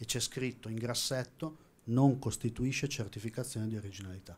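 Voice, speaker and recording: The man's voice is somewhat breathy. He talks fairly quickly. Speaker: auction house watch specialist. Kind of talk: panel discussion.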